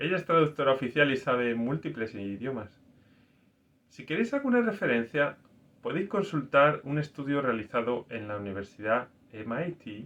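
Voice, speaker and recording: The man's intonation is lively and his pitch fairly high. He has an unremarkable speaking voice. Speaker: scientist and faith video host. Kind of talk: personal reflective talk.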